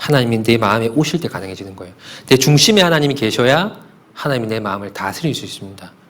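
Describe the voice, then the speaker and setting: Talking very fast, a man keeps his pitch medium and his intonation lively. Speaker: pastor. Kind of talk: sermon.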